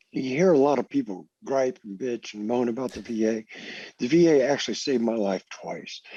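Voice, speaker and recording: In a normal speaking voice with an American accent, a man talks at a fairly quick pace and medium pitch, with ordinary pitch variation and a dry, close sound with no echo. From US military family, raised partly in Germany. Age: 60s. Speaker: Coast Guard veteran. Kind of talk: interview testimony.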